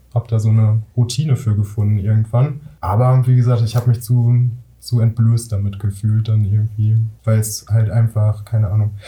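Somewhat breathy and dark, mellow in tone, the voice holds a very even loudness and a monotone, flat intonation at a moderate pace. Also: man, medium pitch for a man. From Ruhr area, Germany. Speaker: singer-songwriter. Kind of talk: casual chat.

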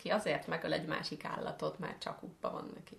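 Over noticeable background noise, the speaker talks at a fairly quick pace. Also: woman. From Hungary. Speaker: podcast co-host. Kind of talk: casual chat.

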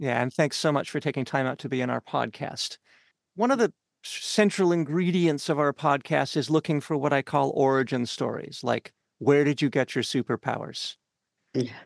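A man with a Canadian accent has a plain, everyday voice, a fairly high pitch and ordinary pitch variation at a moderate pace. The sound is dry and close with no echo, over a quiet background. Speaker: podcast host and cultural programmer. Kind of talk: interview. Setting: studio.

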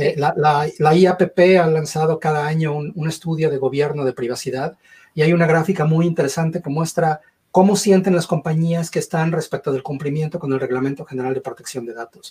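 A man with an ordinary speaking voice, fairly high pitch, fairly even intonation and a fairly quick pace. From Mexico. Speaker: cybersecurity consultant. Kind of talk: panel discussion.

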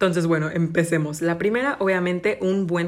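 This woman has a normal speaking voice, pitched fairly low. Her intonation is fairly even. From Mexico, Cancún. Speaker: podcaster and university student. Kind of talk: casual solo chat.

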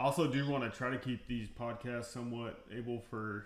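Monotone and flat, a man with an American accent speaks at a moderate pace and medium pitch with audible room echo. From Texas. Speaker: energy medicine practitioner. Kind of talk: casual chat.

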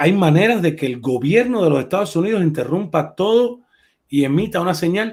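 Lively intonation runs through a man's plain, everyday voice. His pace is moderate. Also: very clean recording, silent background. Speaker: livestream host. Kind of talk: casual chat. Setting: live stream.

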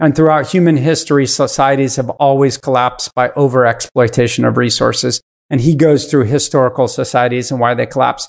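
A plain, everyday voice at a fairly quick pace, with very even loudness, fairly even intonation and hardly any pauses. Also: man, medium pitch for a man. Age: 50s. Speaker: venture capitalist. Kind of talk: casual chat.

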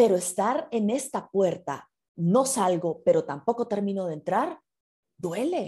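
The voice has a dark, mellow tone and moves through very wide pitch swings at a fairly slow pace. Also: woman, medium pitch for a woman. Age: 40s. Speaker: writer and broadcaster. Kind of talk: casual chat. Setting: video call.

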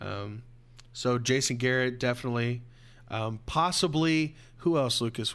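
On a very clean recording with a silent background, a man speaks at a moderate pace and a medium pitch. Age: 20s. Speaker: sports podcast host. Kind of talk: casual chat. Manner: animated.

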